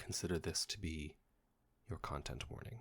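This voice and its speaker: Whispering, a man talks at a moderate pace. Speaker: ASMR creator. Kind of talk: whispered reading.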